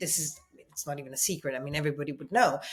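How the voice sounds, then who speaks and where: A woman at a very fast pace, in a slight Italian accent. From Italy. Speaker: journalist, TV news presenter. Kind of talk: interview answer.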